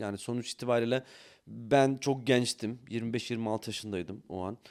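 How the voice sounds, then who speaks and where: A man talks at a moderate pace with a medium pitch. His pitch varies in an ordinary way, and the recording is very clean with a silent background. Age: 40s. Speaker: CEO of a study-abroad consultancy, former English teacher. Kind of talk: podcast interview. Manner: hesitant, many filler sounds.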